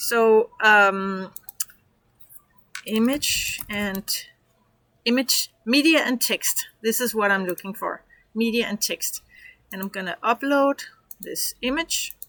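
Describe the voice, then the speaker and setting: Very slowly and with long, frequent pauses, a woman with a Danish accent speaks in a fairly high pitch with ordinary pitch variation, her bright, sharp tone heard in a dry, close sound with no echo. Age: 50s. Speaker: online business coach. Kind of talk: tutorial. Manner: casual, halting.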